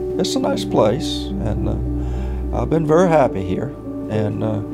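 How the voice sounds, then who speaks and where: Loud music plays in the background as a man speaks with an American accent. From Virginia. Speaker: retired minister. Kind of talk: interview answer. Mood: content, relaxed. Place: home room.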